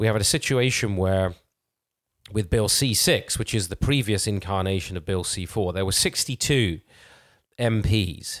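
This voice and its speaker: On a very clean recording with a silent background, a man with a plain, everyday voice speaks at a fairly low pitch and a fairly slow pace with ordinary pitch variation. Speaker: theologian and teacher. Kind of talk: teaching discussion. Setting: studio. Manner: formal, earnest.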